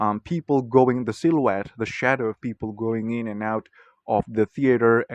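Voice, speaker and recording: Someone with a non-native accent speaks at a moderate pace with fairly even intonation, the sound dry and close with no echo. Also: man. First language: not English. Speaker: video blogger. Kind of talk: casual monologue. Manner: hesitant, many fillers.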